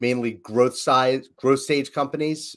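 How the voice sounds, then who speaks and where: The recording is very clean, with a silent background. A man with a Philadelphia accent talks at a medium pitch in a monotone, flat way. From Philadelphia, US. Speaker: leadership coach, business founder. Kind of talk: casual podcast conversation.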